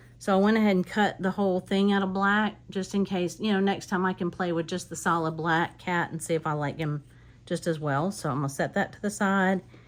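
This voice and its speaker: In a Southern US accent, a woman talks at a fairly quick pace with a medium pitch and fairly even intonation. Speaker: card making crafter. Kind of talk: crafting tutorial. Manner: casual, chatty with fillers.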